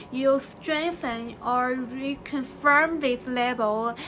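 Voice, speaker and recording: A woman with a Chinese accent uses a raised, projected voice at a high pitch. Noticeable background noise runs underneath. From China. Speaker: vlogger. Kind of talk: personal reflection monologue. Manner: halting, many fillers and restarts.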